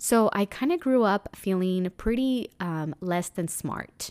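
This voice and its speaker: On a very clean recording with a silent background, a woman speaks in a Spanish accent. Her pace is very slow, with ordinary pitch variation. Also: dry, close sound with no echo. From Mexico. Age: 30s. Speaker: podcast host and meditation teacher. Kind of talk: casual monologue.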